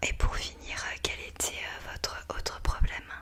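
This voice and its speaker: A woman whispers over noticeable background noise. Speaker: ASMR creator playing a doctor. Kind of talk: ASMR roleplay, doctor consultation. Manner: soft, gentle, slow, caring.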